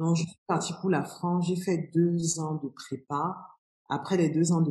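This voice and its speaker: Her voice is somewhat breathy, with a dark, mellow tone and fairly low pitch for a woman. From Cameroon. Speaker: business strategy consultant. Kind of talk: interview conversation.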